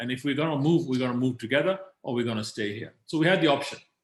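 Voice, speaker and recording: A man's somewhat breathy voice at medium pitch, very fast, with ordinary pitch variation. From Kenya. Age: 60s. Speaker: business leader. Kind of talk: interview.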